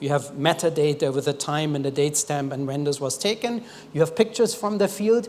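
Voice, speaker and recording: A man with a normal speaking voice, fairly high pitch, lively intonation and a fairly quick pace. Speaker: development expert presenting at a forum. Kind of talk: conference presentation. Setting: stage with audience.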